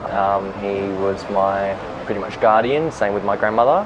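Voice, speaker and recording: A man with a fairly low voice speaks at a fairly slow pace with fairly even intonation, noticeable background noise behind him. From Western Australia, Perth area. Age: 20s. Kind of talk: interview testimony.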